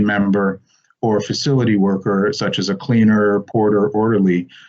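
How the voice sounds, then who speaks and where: In an ordinary speaking voice with an American accent, the speaker goes at a fairly slow pace. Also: man. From New York, US. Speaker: tech company executive. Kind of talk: business presentation.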